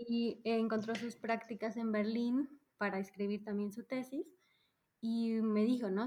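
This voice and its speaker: A woman's fairly high voice carries a dark, mellow tone. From Mexico, Mérida (Yucatán). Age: 30s. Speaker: psychologist turned UX professional, expat. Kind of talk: casual interview chat.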